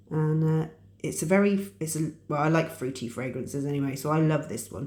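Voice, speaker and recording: With an English accent, a woman speaks at a fairly quick pace. Her very deep, low voice has a dark, mellow tone and ordinary pitch variation. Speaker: crafting youtuber. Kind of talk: tutorial. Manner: casual, hesitant with fillers.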